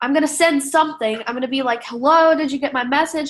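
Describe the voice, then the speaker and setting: Her pitch high, a woman speaks. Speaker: network marketing distributor. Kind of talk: tutorial. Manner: casual, filler-heavy.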